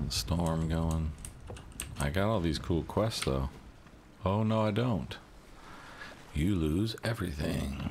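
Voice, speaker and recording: A man with a very deep, low voice speaks very slowly, with long, frequent pauses and lively intonation. His loudness stays very even, and the room echo is audible. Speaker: video game streamer. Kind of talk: live gameplay stream chat. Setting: home streaming setup, no webcam. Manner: sometimes mumbles and gets quiet; casual, loose.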